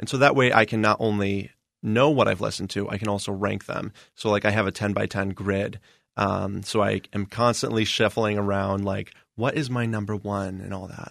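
A man with an American accent and an unremarkable speaking voice speaks at a fairly low pitch and moderate pace, his intonation fairly even. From Indiana. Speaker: music journalist. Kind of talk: interview.

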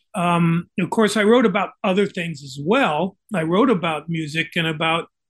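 His pitch shows ordinary variation. The man's voice is high. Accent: American. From US West Coast. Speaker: author and journalist. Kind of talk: interview.

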